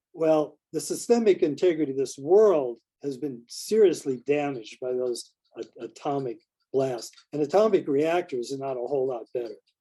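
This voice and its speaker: A man speaks at a moderate pace in a fairly high pitch. His tone is dark and mellow, and his intonation is lively. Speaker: spiritual teacher and interview guest. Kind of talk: interview conversation. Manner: halting, many repetitions and fillers.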